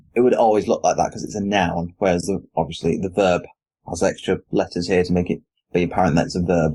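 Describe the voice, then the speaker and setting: In a British accent, a man with a very deep, low voice speaks at a fairly quick pace with fairly even intonation. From Britain. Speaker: podcast host. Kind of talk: casual chat.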